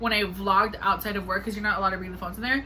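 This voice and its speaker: A woman with fairly even intonation, plus noticeable background noise and audible room echo. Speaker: vlogger. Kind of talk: casual vlog. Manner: fast.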